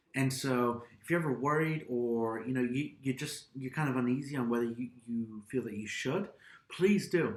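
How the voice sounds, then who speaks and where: This man has an unremarkable speaking voice, medium in pitch, moderate in pace and ordinary in its pitch variation. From Austria (American-born, raised in Europe). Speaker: YouTube vlogger. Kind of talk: casual chat.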